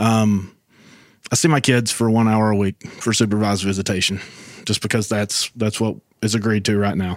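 The speaker talks at a moderate pace in an Appalachian accent, with fairly even intonation and very even loudness. The recording is very clean, with a silent background. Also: man, fairly low pitch for a man. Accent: Appalachian Southern US. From western North Carolina, Robbinsville. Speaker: podcast guest sharing testimony. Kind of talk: personal testimony.

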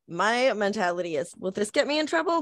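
A woman with an American accent and a bright, sharp tone speaks at a moderate pace, her pitch swinging very widely, on a very clean recording with a silent background. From Portland, Oregon. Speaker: tattoo artist. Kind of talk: casual chat.

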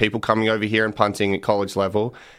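A man talks at a fairly low pitch with an Australian accent, captured on a very clean recording with a silent background. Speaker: punter and podcast host. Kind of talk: casual interview. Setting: radio studio.

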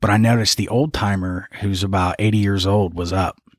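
The recording is very clean, with a silent background. A man speaks in an unremarkable speaking voice, fairly low in pitch, with fairly even intonation. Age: 30s. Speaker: jiu-jitsu coach. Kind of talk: casual interview.

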